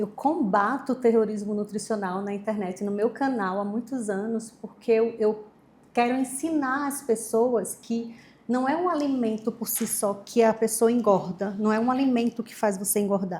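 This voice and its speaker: A woman with a Maceió accent speaks at a fairly high pitch, her voice somewhat breathy. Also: ordinary pitch variation, moderate pace. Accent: northeastern Brazilian (Maceió). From Brazil, Maceió (Alagoas, Northeast). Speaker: nutritionist. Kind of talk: interview.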